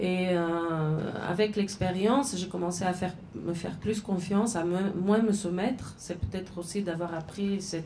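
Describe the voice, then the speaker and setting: A woman with a Bulgarian accent speaks at a fairly slow pace in a fairly low pitch, her pitch varying in an ordinary way, over noticeable background noise and audible room echo. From Bulgaria, Sofia. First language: Bulgarian (speaking French). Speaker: novelist and journalist. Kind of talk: literary talk with audience. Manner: halting, many hesitations.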